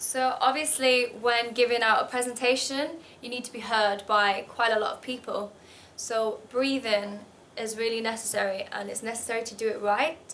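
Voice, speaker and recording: A woman's fairly high voice in a northern English accent, moderate in pace, fairly even in intonation, with big swings in loudness. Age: 20s. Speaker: model. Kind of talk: tutorial.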